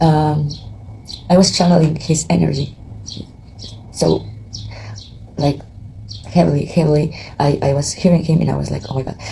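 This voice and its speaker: Long, frequent pauses break up the speech against noticeable background noise. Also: moderate pace. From Mexico. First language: Spanish. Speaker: tarot reader and astrologer. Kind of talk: casual vlog monologue before a tarot reading. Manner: halting, many fillers and repetitions.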